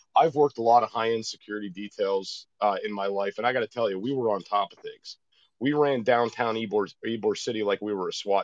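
In a plain, everyday voice, a man speaks at a fairly quick pace and medium pitch, with a dry, close sound and no echo. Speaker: former school resource officer, caller. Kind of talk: serious call-in discussion. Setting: phone call.

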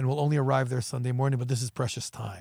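A man speaks at a medium pitch with a somewhat breathy voice, recorded very cleanly against a silent background. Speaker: EMS operations manager and podcast co-host. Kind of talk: podcast interview conversation. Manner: halting, many repetitions and fillers.

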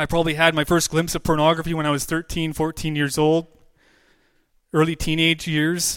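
A man with a Western Canadian accent speaks at a fairly quick pace with fairly high pitch. His intonation is monotone and flat, on a very clean recording with a silent background. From British Columbia, Canada. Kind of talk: testimony.

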